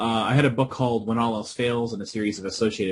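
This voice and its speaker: A somewhat breathy man with an American accent, fairly low in pitch, at a very fast pace. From US Northeast, Boston area. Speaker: professor. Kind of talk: interview.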